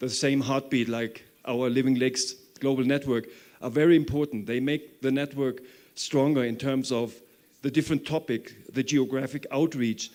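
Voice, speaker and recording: A man with an unremarkable speaking voice and a medium pitch talks at a moderate pace with fairly even intonation. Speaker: conference organizer. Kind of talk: conference talk.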